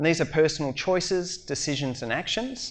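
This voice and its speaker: Speaking at a moderate pace, a man with an Australian accent has a fairly high pitch and ordinary pitch variation. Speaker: educator and humanitarian speaker. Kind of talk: conference talk.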